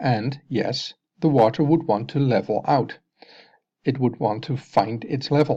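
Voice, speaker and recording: The speech moves at a fairly slow pace with a slight Dutch accent. The background is quiet. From Netherlands. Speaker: science video maker. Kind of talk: explanatory video narration.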